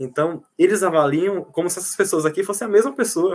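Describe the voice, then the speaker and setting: A man speaks at a fairly quick pace. His pitch moves in an ordinary way. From Bahia, Brazil (Jacobina). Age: 20s. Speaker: student. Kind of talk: casual interview. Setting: video call from home kitchen.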